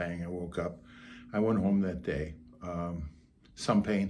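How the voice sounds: A slightly mellow, raspy voice with fairly even intonation. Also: man.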